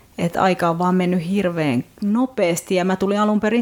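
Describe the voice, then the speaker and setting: This woman talks very slowly at a medium pitch. Her intonation is lively. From Finland. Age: 40s. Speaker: novelist and translator. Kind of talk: casual interview.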